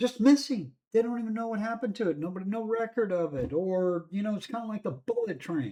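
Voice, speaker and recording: A dark, mellow tone in an American accent at a fairly quick pace. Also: man. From California. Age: 60s. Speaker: news commentary vlogger. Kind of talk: opinion commentary monologue. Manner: casual, rambling with fillers.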